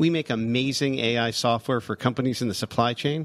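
Talking at a fairly quick pace, a man has a plain, everyday voice, medium in pitch, with ordinary pitch variation. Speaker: podcast host. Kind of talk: casual interview.

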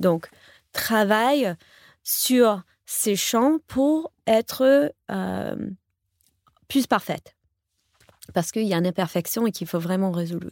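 A woman's medium-pitched voice with an English accent at a very slow pace with long, frequent pauses, on a very clean recording with a silent background and a dry, close sound with no echo. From US, New York. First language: English (speaking French). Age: 40s. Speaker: professional coach. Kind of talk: interview conversation. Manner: halting, many repetitions.

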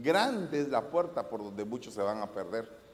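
The speaker is a man with an animated tone. Very wide pitch swings run through his speech. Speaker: preacher. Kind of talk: sermon. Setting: church service with congregation.

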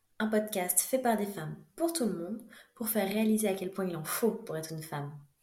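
A woman talks at a fairly quick pace with lively intonation and a medium pitch. Audible room echo surrounds her voice. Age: 20s. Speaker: podcast host, dentist. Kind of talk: scripted narration.

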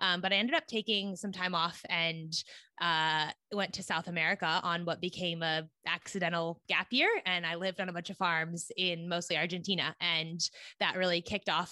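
A woman with a West Coast US accent, a bright, sharp tone, a fairly low pitch and a moderate pace. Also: dry, close sound with no echo. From California, US. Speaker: ag tech podcast host and investor. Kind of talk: interview. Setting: remote recording. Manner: animated.

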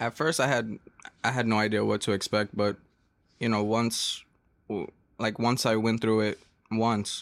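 With an American accent, a man talks at a moderate pace and medium pitch, his intonation monotone and flat, his loudness very even, and his pauses long and frequent. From Brooklyn, New York (Flatbush). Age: young. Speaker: youth festival organizer. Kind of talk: casual chat.

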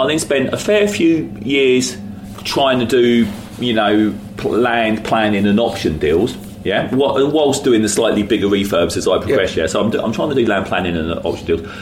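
Noticeable background noise and audible room echo surround a man with a London accent. He has a medium pitch and lively intonation at a moderate pace. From West London. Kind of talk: interview.

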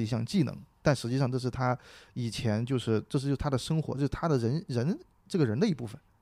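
In a very clean recording with a silent background, a man of medium pitch speaks at a very fast pace in a dark, mellow tone with ordinary pitch variation. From Sichuan, China. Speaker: stand-up comedian. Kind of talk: casual chat about comedy.

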